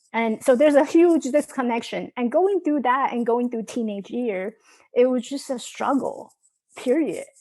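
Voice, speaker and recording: A dark, mellow tone with a slight New York accent, moderate pace and ordinary pitch variation. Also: woman, high pitch for a woman. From Taiwan, moved to New York at 15. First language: Mandarin Chinese. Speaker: mindset coach and author. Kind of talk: interview. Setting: video call. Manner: halting, frequent false starts.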